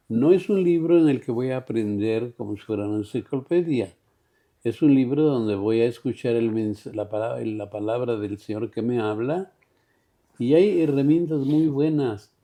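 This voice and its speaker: A man with a dark, mellow tone talks at medium pitch and a moderate pace. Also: lively intonation. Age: 80s+. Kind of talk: interview. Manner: halting.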